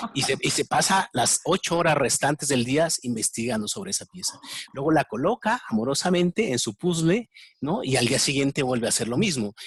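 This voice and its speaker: Speaking at a fairly quick pace in a Mexican accent, a man uses lively intonation and a fairly high pitch, sounding somewhat breathy in a dry, close recording with no echo. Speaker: interviewer, enneagram expert. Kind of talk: interview. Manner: halting, repetitive fillers.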